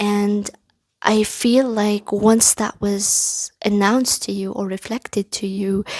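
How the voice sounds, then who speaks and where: In a non-native accent, the speaker talks very slowly with a monotone, flat delivery, the sound dry and close with no echo. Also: woman, medium pitch for a woman. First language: not English. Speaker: tarot reader. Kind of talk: pick-a-card tarot reading. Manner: halting, with many fillers.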